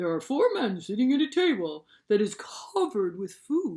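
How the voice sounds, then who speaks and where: The voice is a put-on character voice, fairly high in pitch. It moves at a moderate pace with very wide pitch swings. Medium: read story.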